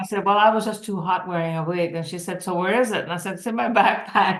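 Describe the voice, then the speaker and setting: Amid noticeable background noise, a woman speaks very fast at a medium pitch with fairly even intonation. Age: 70s. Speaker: cancer survivor. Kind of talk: casual chat.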